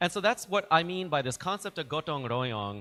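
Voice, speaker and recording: In a bright, sharp tone with an American accent, a man speaks at a moderate pace and a fairly high pitch, showing vocal fry and very wide pitch swings over a very clean recording with a silent background. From US, New York. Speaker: diplomat. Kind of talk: informal talk to students.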